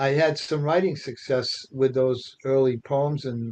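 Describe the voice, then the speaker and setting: Speaking in a strong Boston accent, a man talks at a medium pitch and a fairly slow pace with fairly even intonation. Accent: strong Revere Boston. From Revere, Massachusetts. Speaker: author and poet. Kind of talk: podcast interview.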